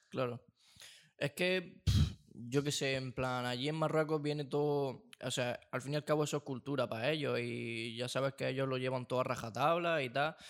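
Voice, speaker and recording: In an unremarkable speaking voice of medium pitch, a man talks at a moderate pace with fairly even intonation over a very clean recording with a silent background. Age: 20s. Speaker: film and sound student. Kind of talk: casual chat.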